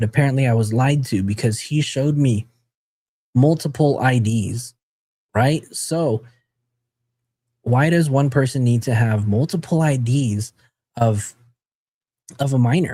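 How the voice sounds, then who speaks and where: The voice has a dark, mellow tone and is somewhat breathy, moving at a fairly slow pace with long, frequent pauses, very even loudness and ordinary pitch variation. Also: man, medium pitch for a man. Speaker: true crime commentator. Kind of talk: live stream commentary. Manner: casual, conversational.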